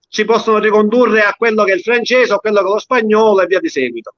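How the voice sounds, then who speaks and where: The recording is dry and close, with no echo. A man speaks at a high pitch. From Sicily, Castellammare del Golfo. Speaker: dialect poet. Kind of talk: casual chat.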